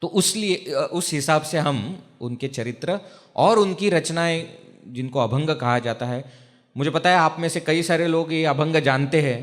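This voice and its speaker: This man speaks with a Marathi accent. His pitch is fairly high, with ordinary variation. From Maharashtra, India. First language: Marathi (speaking Hindi). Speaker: spiritual teacher, brahmachari monk. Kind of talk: religious discourse. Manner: conversational, asks audience questions.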